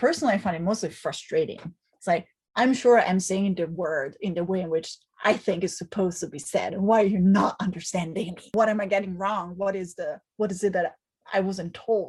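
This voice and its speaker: A somewhat breathy woman's voice with an Italian accent. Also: medium pitch for a woman, ordinary pitch variation, fairly quick pace. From Italy. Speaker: professor. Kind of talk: interview.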